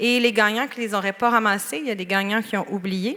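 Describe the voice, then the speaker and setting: A woman is speaking. She has a Quebec accent. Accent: Québécois French accent in English. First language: French. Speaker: awards ceremony host. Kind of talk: bilingual closing announcements. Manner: casual with hesitations.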